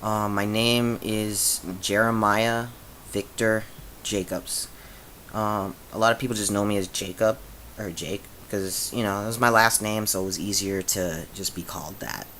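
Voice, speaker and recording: A man with a fairly low voice, fairly even intonation and a fairly slow pace. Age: 20s. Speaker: vlogger sharing transition update. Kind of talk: casual video diary. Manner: halting, many fillers.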